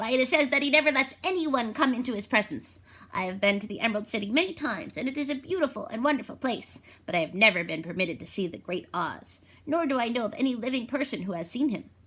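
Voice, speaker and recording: Using a put-on character voice, a woman races at a very fast pace in a high pitch with very wide pitch swings. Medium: read story. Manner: knowing, thoughtful.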